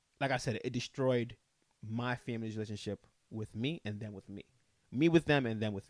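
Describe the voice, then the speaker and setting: This man talks at a fairly quick pace with a medium pitch and ordinary pitch variation. The sound is dry and close, with no echo. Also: big swings in loudness. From Nigeria, raised in US. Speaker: web series host. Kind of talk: casual chat.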